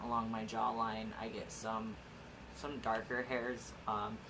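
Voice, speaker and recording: A man speaks very slowly at a medium pitch in a flat monotone. Audible room echo and noticeable background noise are present. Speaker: vlogger documenting gender transition. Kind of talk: casual vlog update. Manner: hesitant, many filler words.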